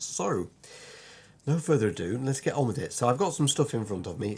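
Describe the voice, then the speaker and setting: Somewhat breathy, a man with a British accent speaks at a fairly quick pace with lively intonation. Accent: British, sometimes Lancashire. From Lancashire, northern England. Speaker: illustrator and part-time vicar. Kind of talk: online course introduction. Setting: home drawing room, recorded video. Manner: hesitant, many fillers; quirky, sometimes puts on voices.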